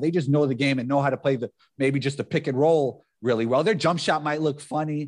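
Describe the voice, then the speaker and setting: A man's fairly high voice with a New York accent at a very fast pace, over a quiet background. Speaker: former professional basketball player. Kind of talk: casual chat.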